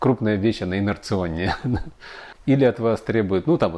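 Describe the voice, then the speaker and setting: A man's fairly low, dark, mellow voice at a moderate pace with ordinary pitch variation. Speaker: engineer and educator. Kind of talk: interview. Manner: hesitant, filler-heavy.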